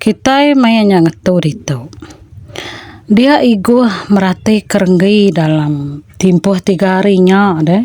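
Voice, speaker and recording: Lively in intonation, the voice moves at a very slow pace in a dry, close sound with no echo, over noticeable background noise. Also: woman. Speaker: storyteller. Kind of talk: storytelling; casual chat.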